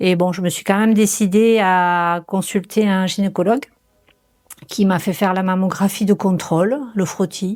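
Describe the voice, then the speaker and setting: A woman speaks at a medium pitch. Her intonation is fairly even and her pace fairly slow. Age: 60s. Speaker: cancer patient. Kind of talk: testimony. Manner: halting.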